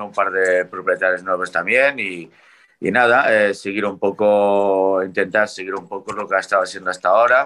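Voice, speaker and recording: Against a quiet background, a man with a Portuguese accent speaks fairly slowly in a fairly low voice with a bright, sharp tone and fairly even intonation. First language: Portuguese (speaking Spanish). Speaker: racehorse trainer. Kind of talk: casual chat.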